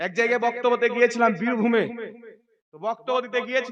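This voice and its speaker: The man's pitch is extremely high. His intonation stays flat and monotone. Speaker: Islamic preacher. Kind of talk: religious sermon to a gathering.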